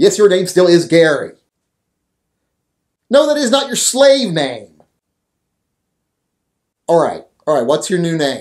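Pitch swings very widely at a moderate pace. The background is quiet. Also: man. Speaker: channel host. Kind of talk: comedic skit monologue. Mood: exasperated, scolding. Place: studio.

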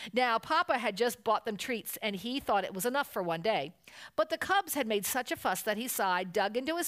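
An unforced reading voice delivers the lines with lively intonation.

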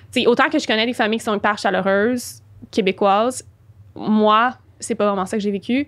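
Speaking at a moderate pace, a woman uses a fairly high pitch and leaves long, frequent pauses. The background is quiet. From Quebec. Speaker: spiritual and business coach; podcast guest. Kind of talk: interview. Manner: animated. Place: studio. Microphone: studio mic.

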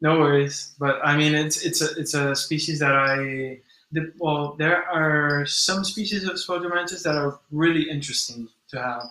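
A man with a normal speaking voice talks at a fairly slow pace and a fairly high pitch, his intonation fairly even. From mixed: born in US to Brazilian parents, long in Spain. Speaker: insect keeper and animal content creator. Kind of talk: casual live stream chat. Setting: live stream from home at midnight.

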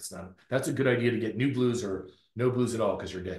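A man talks at a fairly quick pace with an American accent, his medium-pitched voice somewhat breathy. The background is quiet, though room echo is audible. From US South, North Florida. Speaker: professor, circadian biologist; professor. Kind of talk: lecture. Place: office. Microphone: webcam.

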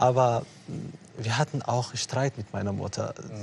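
In a dark, mellow tone, a man talks with a somewhat breathy voice. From Eritrea. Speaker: refugee and author. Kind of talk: interview on TV talk show. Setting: TV studio. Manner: hesitant, many fillers.

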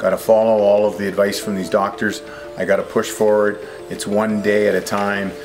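A man talks at a fairly quick pace, his pitch fairly low. Faint music plays in the background. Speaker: vlogger sharing personal story. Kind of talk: casual vlog chat. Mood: reflective, positive. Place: garden. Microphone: phone near.

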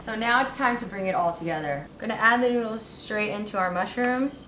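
A woman speaks at a moderate pace with ordinary pitch variation. Loud background noise sits behind her. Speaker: home cook host. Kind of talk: cooking tutorial. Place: kitchen.

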